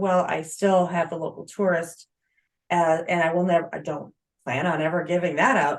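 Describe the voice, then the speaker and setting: A woman's fairly low-pitched voice at a moderate pace, an ordinary speaking voice. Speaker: author and blogger giving a self-publishing presentation. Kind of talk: webinar Q&A and course pitch.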